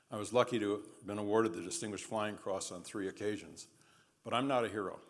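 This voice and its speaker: A man with an American accent, in a room with audible echo. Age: 70s. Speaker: war veteran and trial lawyer. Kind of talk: lecture.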